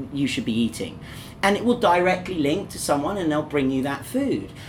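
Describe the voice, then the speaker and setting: With noticeable background noise behind him, a man speaks at a fairly quick pace. His fairly high voice makes very wide pitch swings. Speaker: podcast host. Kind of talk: casual chat. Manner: upbeat, humorous, animated.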